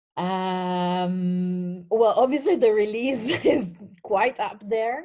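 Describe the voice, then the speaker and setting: With an Italian accent, a woman speaks at a very slow pace and a fairly high pitch. Her tone is dark and mellow, and her intonation is lively. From northern Italy. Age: 40s. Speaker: WordPress community contributor. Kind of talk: interview.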